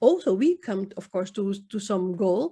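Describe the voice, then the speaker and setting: Somewhat breathy and dark, mellow in tone, a woman with a Dutch accent speaks at a fairly slow pace. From Netherlands, Indo community. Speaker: poet. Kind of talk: interview. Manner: halting.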